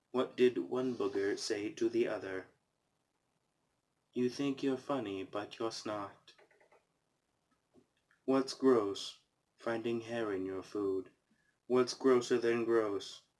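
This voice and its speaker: This man talks very slowly, with long and frequent pauses. His pitch is medium, his delivery deadpan, and his intonation fairly even. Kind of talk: casual talk to camera, reading jokes from a joke book. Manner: monotone, deadpan.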